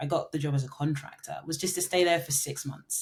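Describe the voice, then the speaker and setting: A woman speaks with a London accent. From London, England. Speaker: marketing consultant and entrepreneur. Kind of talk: podcast interview. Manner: filler-heavy, with frequent ums and restarts.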